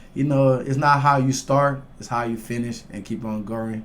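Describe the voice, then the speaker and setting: Amid audible room echo, a man with a Liberian accent speaks at a moderate pace. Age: 20s. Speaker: MMA fighter. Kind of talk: casual interview chat.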